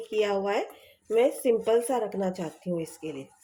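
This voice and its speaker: This woman's voice sits at a fairly high pitch. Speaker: cooking channel host. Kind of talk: cooking tutorial.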